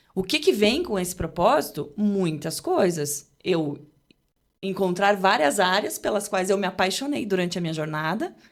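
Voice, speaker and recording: This woman's medium-pitched voice has lively intonation. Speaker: journalist and TV presenter. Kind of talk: casual podcast interview. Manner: fast; articulate.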